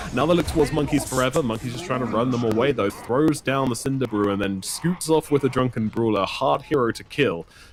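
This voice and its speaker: A man speaks with a British accent at a fairly quick pace. He leaves hardly any pauses. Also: medium pitch for a man, ordinary pitch variation. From Britain. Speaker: esports caster. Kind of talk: live commentary. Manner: animated.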